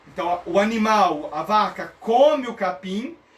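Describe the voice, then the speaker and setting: There's a man speaking with a high pitch. Audible room echo and noticeable background noise come through. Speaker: theology teacher. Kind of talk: online lecture. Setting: live stream.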